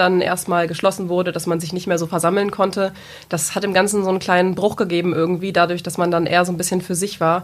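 Her voice sits at a fairly low pitch for a woman. She speaks with monotone, flat intonation. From Lower Saxony, Germany (Peine region). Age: 20s. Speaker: sales employee, former dual-study business student. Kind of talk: podcast interview.

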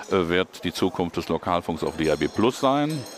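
A man talks with a very deep, low pitch. Noticeable background noise is present. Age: 50s. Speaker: state politician, former journalist. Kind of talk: interview. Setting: parliament building foyer.

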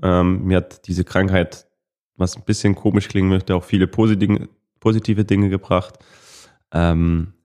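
In a very clean recording with a silent background, a man speaks in a very deep, low voice with a dark, mellow tone and fairly even intonation. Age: 20s. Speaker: professional footballer. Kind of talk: interview.

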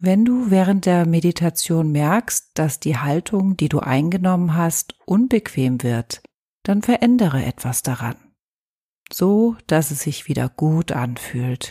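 Very slow and somewhat breathy, a woman speaks in a soothing, calm tone that is dark and mellow, with a fairly low pitch and very wide pitch swings. The sound is dry and close with no echo, and the recording is very clean with a silent background. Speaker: yoga teacher. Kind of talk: guided meditation. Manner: slow, soothing, calm; soft-spoken, gentle, with long pauses.

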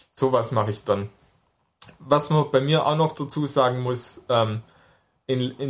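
On a very clean recording with a silent background, a man with a slight Swabian accent speaks at a fairly slow pace. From near Stuttgart, Swabia, Germany. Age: 20s. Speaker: drummer with hemiparesis, interviewee. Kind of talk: interview.

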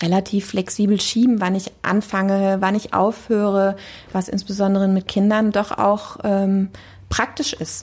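A somewhat breathy woman's voice at medium pitch and a fairly slow pace, in a very clean recording with a silent background. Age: 40s. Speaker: deputy tax office head, lawyer. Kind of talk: interview.

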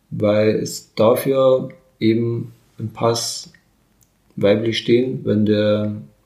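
A man with a dark, mellow tone speaks very slowly and evenly, leaving long, frequent pauses. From Bavaria, Burghausen area. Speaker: interviewee sharing her life story. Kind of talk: interview. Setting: at her home.

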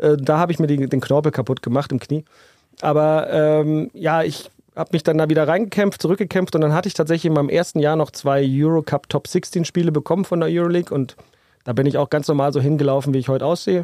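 At a very fast pace, a man with a dark, mellow tone keeps his loudness very even and his intonation fairly even, recorded with a dry, close sound and no echo. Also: fairly high pitch for a man. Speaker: basketball referee. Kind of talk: casual chat. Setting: restaurant / beer hall.

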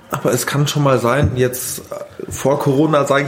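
The speaker keeps a moderate pace. Noticeable background noise sits behind the voice. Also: man. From Bavaria, Grünwald near Munich. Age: 20s. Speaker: innkeeper. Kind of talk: casual interview. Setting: in a restaurant.

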